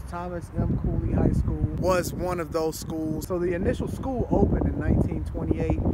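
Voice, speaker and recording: Over loud background noise, a man speaks at a moderate pace with hardly any pauses, in a dry sound with no echo. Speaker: urban explorer vlogger. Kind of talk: casual vlog intro with history narration. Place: street.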